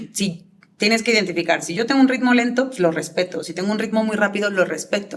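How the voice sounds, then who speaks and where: With normal pitch movement, a woman talks at a medium pitch. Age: 30s. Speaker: public speaking coach. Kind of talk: interview answers. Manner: fast.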